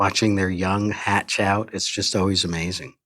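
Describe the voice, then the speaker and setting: Using an unremarkable speaking voice, a man talks at a fairly slow pace with a fairly low pitch. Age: 60s. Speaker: entomology professor. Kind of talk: interview.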